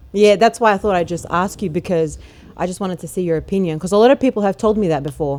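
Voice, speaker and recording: A woman with an Australian accent talks at a very fast pace. Her pitch is medium, with ordinary pitch variation. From Australia, Melbourne. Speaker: rapper. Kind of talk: interview.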